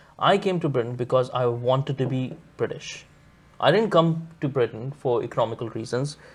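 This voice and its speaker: A man with a medium pitch speaks at a moderate pace, his pitch varying in an ordinary way. His voice is somewhat breathy over a quiet background. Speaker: writer and social commentator. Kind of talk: podcast discussion.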